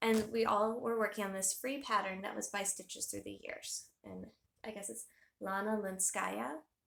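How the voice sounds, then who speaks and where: Vocal fry runs through this woman's medium-pitched voice, with ordinary pitch variation. Her loudness swings widely. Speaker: cross-stitch hobby vlogger. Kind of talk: casual chat. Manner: calmer, slower than her first take.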